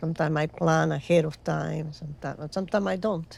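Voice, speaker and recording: This woman talks at a fairly quick pace. She has a Spanish accent. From Venezuela. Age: 80s+. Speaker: ceramic artist. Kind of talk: interview. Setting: studio.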